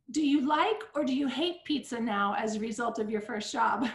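High in pitch, a woman speaks with lively intonation. Audible room echo surrounds her voice. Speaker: interviewer and school host. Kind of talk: interview. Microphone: video call.

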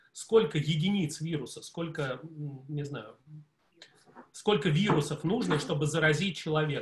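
A man talks with ordinary pitch variation while noticeable background noise is heard. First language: Russian. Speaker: audience member. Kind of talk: audience question. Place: home room. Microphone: video call.

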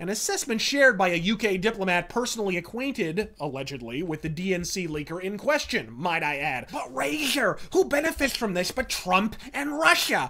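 A man speaks in a raised, projected voice with high pitch. His pitch swings very widely, with hardly any pauses. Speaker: political commentary video host. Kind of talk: profane, theatrical angry political rant. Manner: profanity-laced, sneering and sarcastic invective; florid, rapid-fire insults with mock-formal flourishes. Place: home room.

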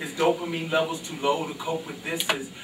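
Noticeable background noise accompanies talking delivered at a moderate speed. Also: man. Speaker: spoken word poet. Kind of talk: spoken word poetry performance at open mic. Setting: live venue. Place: stage.

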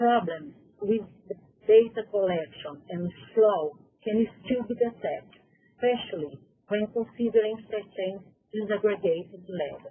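Speaking in a Portuguese accent, a woman with a fairly high pitch and ordinary pitch variation goes at a fairly slow pace with long, frequent pauses. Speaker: health department researcher. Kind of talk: conference presentation read aloud. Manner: halting, non-native reading.

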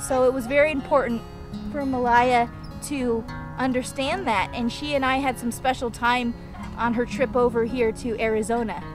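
Clear music plays in the background as a woman with a high pitch speaks at a moderate pace with fairly even intonation, in a dry sound with no echo. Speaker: vlogger aunt. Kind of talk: casual vlog chat. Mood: warm, earnest. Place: open country. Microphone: phone near.

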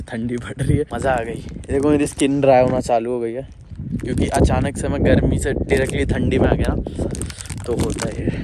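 The sound is dry, with no echo, but loud background noise is present. A man talks at a moderate pace. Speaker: travel vlogger. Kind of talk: casual vlog chat. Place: open country. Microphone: phone near.

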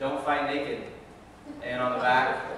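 Amid light background noise and strong room echo, a man speaks in a monotone, flat way at a moderate pace. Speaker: pastor. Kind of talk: sermon. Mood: light, humorous. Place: church.

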